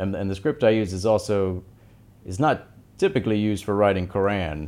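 Speaking with an American accent at a moderate pace, this voice shows ordinary pitch variation and long, frequent pauses. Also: man. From US South, Tennessee. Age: 30s. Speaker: artist, Arabic calligrapher. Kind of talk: interview.

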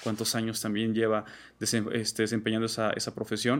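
A man at a very fast pace, in a very clean recording with a silent background. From Mexico, Salamanca, Guanajuato. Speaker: graphic designer and digital artist. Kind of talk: interview.

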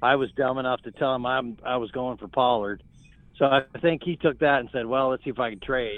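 Using an ordinary speaking voice, a man talks at a fairly quick pace in a medium pitch with fairly even intonation. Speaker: fantasy football league co-podcaster. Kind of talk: casual chat.

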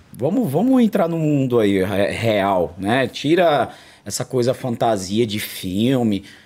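Lively intonation marks a man's speech, delivered at a very slow pace. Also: medium pitch for a man. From São Paulo, south zone periphery. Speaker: martial arts coach. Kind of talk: casual interview.

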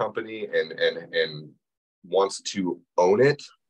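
Lively intonation and vocal fry from a man at a medium pitch. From New Mexico, Navajo reservation. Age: 30s. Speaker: plumbing business owner. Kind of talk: interview.

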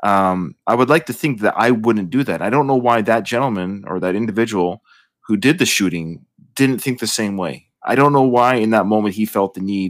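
This man has an unremarkable speaking voice with lively intonation and a fairly quick pace. The recording is very clean, with a silent background. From Canada. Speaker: podcast host. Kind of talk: casual chat.

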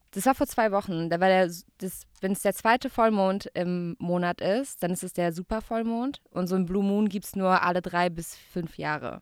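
A woman with a plain, everyday voice talks at a moderate pace with ordinary pitch variation. The recording is very clean and dry, close-miked with no echo and a silent background. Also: medium pitch for a woman. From Baden-Württemberg, Gaggenau. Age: 30s. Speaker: radio host. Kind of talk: casual chat.

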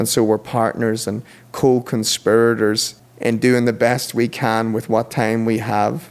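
Here a man speaks with an Irish accent. His pitch sits in the medium range. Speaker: podcast guest. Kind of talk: interview conversation.

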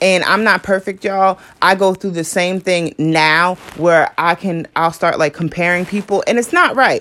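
At a moderate pace, a woman speaks in an ordinary speaking voice of medium pitch. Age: 20s. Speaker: podcast host. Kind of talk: casual monologue.

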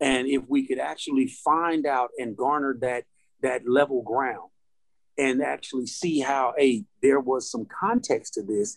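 Fairly slow and fairly high-pitched, a man speaks in a plain, everyday voice. His pitch variation is ordinary. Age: 40s. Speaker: podcast host. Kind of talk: discussion. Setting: on location.

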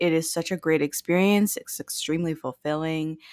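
A woman with an American accent speaks in a plain, everyday voice, fairly low in pitch with ordinary variation. The recording is very clean with a silent background and a dry, close sound with no echo. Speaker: podcast host, guest. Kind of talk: casual chat.

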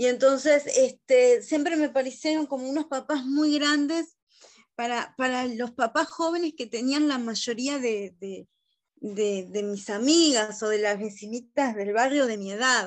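This woman has a Rioplatense accent and a high voice. She talks at a fairly slow pace with ordinary pitch variation. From Uruguay, Montevideo. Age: 30s. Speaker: guest, adoptee. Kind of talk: casual chat. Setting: video call.

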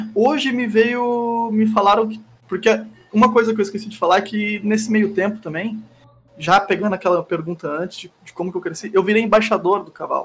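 Speaking at a moderate pace, a man has a high pitch and fairly even intonation. His loudness swings a lot. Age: 20s. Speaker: streamer. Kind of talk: casual chat. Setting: live stream.

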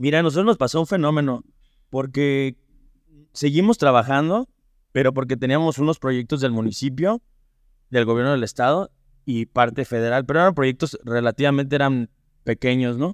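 A man speaks at medium pitch and a moderate pace, with ordinary pitch variation. His long, frequent pauses sit in a dry, close sound with no echo. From Mexico, Irapuato (Guanajuato). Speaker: family business manager in construction. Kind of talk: interview.

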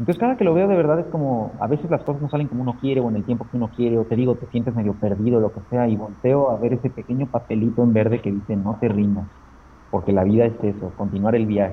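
At a medium pitch and with ordinary pitch variation, this man talks at a very fast pace. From Mexico, Aguascalientes. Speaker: comic illustrator. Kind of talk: casual interview chat.

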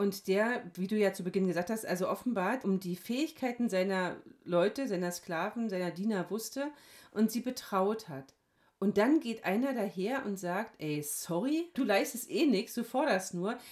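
A woman speaks with a normal speaking voice at medium pitch and a moderate pace. Her intonation is lively, and the recording is very clean with a silent background. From Hesse, Germany. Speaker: pastor. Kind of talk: casual chat.

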